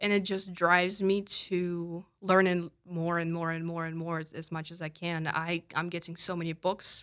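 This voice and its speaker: A woman talks in a Russian accent at a fairly low pitch and a moderate pace, with hardly any pauses. Her intonation is monotone and flat, and the recording is very clean with a silent background. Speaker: clinical counselor. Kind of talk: interview. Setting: studio.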